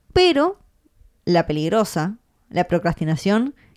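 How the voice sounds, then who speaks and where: On a very clean recording with a silent background, a woman with a Rioplatense accent speaks at a fairly slow pace in a dry, close sound with no echo. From Argentina. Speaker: podcast host, freelancer. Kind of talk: casual chat.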